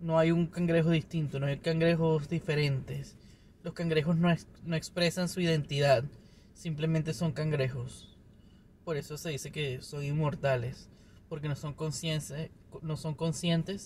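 A man talks at a moderate pace with a fairly high pitch. His intonation is fairly even, and he takes long, frequent pauses. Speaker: video podcaster. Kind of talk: casual solo monologue. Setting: recording himself on camera.

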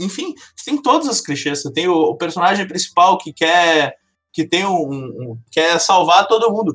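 A man's high-pitched voice, fairly slow, with lively intonation. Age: 20s. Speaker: computer science student. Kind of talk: casual chat.

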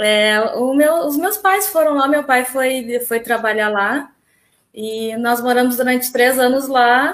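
A woman's high-pitched voice, very slow in pace, with ordinary pitch variation. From southern Brazil, Porto Alegre area. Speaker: flight attendant. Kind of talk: casual interview.

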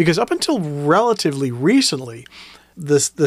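The speech moves at a fairly slow pace while the pitch takes big swings. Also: man.

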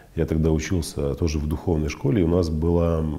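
A man's very deep, low-pitched voice at a moderate pace, with noticeable background noise. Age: 30s. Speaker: psychologist podcast host. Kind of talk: monologue, personal story.

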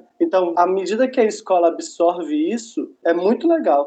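At a moderate pace, a man speaks with high pitch and very wide pitch swings. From Belo Horizonte, Minas Gerais, Brazil. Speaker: educator and teaching materials writer. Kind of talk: casual panel discussion.

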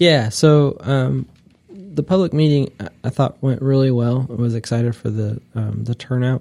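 A man's dark, mellow tone at medium pitch, with a Midwestern American accent and ordinary pitch variation. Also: moderate pace. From US Midwest, northeast Ohio. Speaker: local government administrator, army veteran. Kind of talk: interview. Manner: many filler words and pauses.

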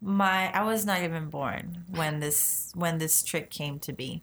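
Using a plain, everyday voice, a woman with an American accent speaks at a fairly slow pace, fairly low in pitch with ordinary pitch variation. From US, childhood partly in Argentina. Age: 20s. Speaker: circus contortionist. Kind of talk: interview.

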